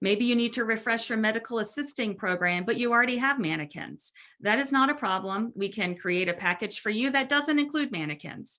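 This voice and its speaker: A woman with a plain, everyday voice, fairly high pitch and lively intonation, talking at a fairly quick pace with hardly any pauses. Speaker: webinar presenter. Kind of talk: webinar presentation. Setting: online webinar.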